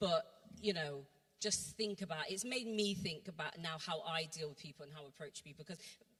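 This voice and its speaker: This woman talks at a fairly quick pace in a fairly low pitch, with ordinary pitch variation. Her loudness swings widely. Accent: Bristol. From Bristol, England. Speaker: church workshop speaker. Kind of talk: testimony.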